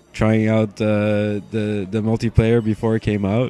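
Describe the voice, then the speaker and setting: Music plays behind a man whose voice sits fairly low in pitch. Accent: Quebec. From Quebec, Montreal. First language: French. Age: 20s. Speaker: gaming commentator. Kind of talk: gameplay commentary. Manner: halting, many fillers and repetitions; casual, laid-back.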